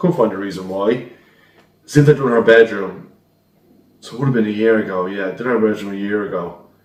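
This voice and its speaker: Recorded with audible room echo, a man speaks at a medium pitch with ordinary pitch variation. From Ireland, Dublin. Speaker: decorator telling a ghost story. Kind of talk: recorded story submission. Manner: casual storytelling.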